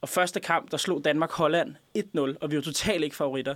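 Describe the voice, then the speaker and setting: This very clean recording has a silent background. A man speaks in an unremarkable speaking voice at a fairly high pitch. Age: 20s. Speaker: radio show guest, former contributor. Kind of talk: casual chat. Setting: studio.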